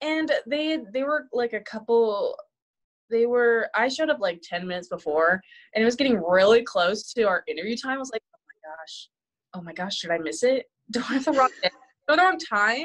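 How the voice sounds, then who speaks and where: Her pitch is fairly high and swings very widely as a woman speaks at a moderate pace. Her loudness also shifts in big swings. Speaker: new student life team member. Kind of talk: casual chat.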